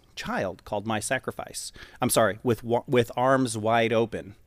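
A man speaks with a plain, everyday voice in an American accent. His pitch is medium and his pace fairly slow, on a very clean recording with a silent background. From US West, western Colorado. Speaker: church worship leader. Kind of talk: casual interview.

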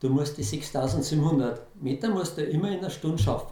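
A man with a Bavarian accent speaks at a moderate pace, his pitch fairly high and his intonation lively. Noticeable background noise and audible room echo fill the recording. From Bavaria, Lower Bavaria (Germany). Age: 60s. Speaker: amateur ultramarathon runner. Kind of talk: interview.

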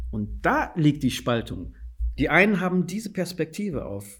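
Vocal fry marks a man's speech at a moderate pace, in a very clean recording with a silent background. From Guinea. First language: Fula (speaking German). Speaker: policy adviser and anti-racism trainer. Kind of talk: interview. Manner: halting, many fillers.

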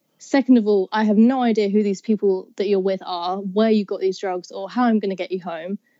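A woman with a southeast English accent talks at a fairly quick pace in a dark, mellow tone, with a dry, close sound that has no echo. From southeast England. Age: 20s. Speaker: university student. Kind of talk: casual chat.

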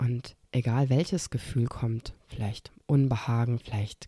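In a calm, soothing, dark and mellow tone, a somewhat breathy voice speaks at a very slow pace in a dry, close sound with no echo. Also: woman. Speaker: podcast host. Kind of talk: guided meditation. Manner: slow, calm, soothing; soft-spoken, with long pauses and repeated word.

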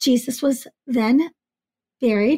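This woman speaks at a high pitch, and the sound is dry and close with no echo. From US, Greek immigrant family. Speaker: podcast host. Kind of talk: casual conversation.

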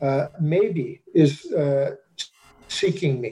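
A man with an American accent. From US Mid-Atlantic, Washington DC / Maryland suburbs. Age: 60s. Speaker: astrologer. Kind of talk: interview.

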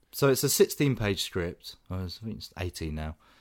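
A man with a British accent talks at a very slow pace on a very clean recording with a silent background. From Britain. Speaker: film podcast host. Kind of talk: casual chat.

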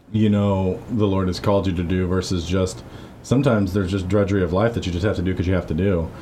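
At a very fast pace, a man with a very deep, low, dark and mellow voice speaks somewhat breathily, keeping his loudness very even and his intonation fairly even amid audible room echo. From Missouri-born, raised in Guatemala from age 9 to 18. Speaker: podcast co-host, church ministry member. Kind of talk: casual conversational interview. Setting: church basement office. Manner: frequent verbal backchannel agreement.

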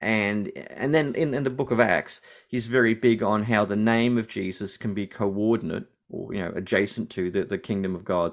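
A man with an Australian accent speaks at a fairly low pitch and a moderate pace, his intonation fairly even. The recording is very clean, with a silent background. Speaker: New Testament lecturer and Anglican priest. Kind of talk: interview.

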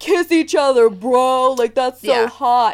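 A high-pitched, female-sounding voice. It is a put-on character voice. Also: fairly slow pace. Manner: mocking, exaggerated.

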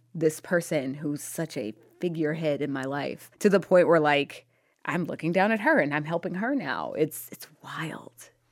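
A woman's very deep, low voice at a moderate pace, on a very clean recording with a silent background. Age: 30s. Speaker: author. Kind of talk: interview.

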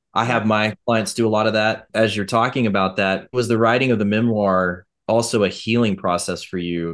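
A man speaks in an ordinary speaking voice. His pitch is fairly low and his intonation fairly even. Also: moderate pace. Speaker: podcast co-host. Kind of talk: casual chat.

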